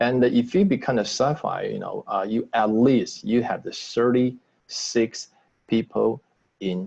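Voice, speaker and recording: A man with a Taiwanese accent, medium pitch and a very slow pace. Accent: non-native English, Taiwanese. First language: Mandarin. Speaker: business trainer. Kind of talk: sales training webinar. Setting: video call. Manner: halting.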